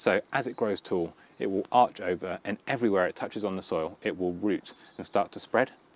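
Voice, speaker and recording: Speaking at a fairly quick pace, a man uses a fairly low pitch with ordinary pitch variation. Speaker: gardening youtuber. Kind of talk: garden tour tutorial. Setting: outdoors in garden. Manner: fast.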